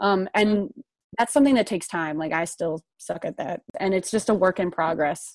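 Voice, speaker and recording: A woman's lively, fairly quick delivery in a Midwestern American accent, medium in pitch, dry and close with no echo, over a quiet background. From US Midwest, southern Illinois. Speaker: graduate student. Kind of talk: casual chat.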